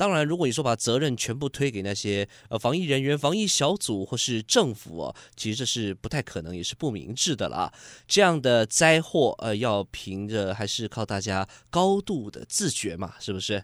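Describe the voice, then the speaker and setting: A man with a medium-pitched voice talks at a moderate pace, his pitch swinging very widely. The sound is dry and close with no echo, in a very clean recording with a silent background. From Taiwan, Kaohsiung. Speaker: travel show host. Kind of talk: casual presenting. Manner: animated.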